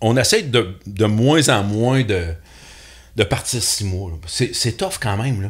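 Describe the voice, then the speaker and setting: A man speaks at a very slow pace in a somewhat breathy voice of medium pitch, with ordinary pitch variation. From Quebec, Beauce region. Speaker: TV hunting and fishing show host. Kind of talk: casual podcast interview.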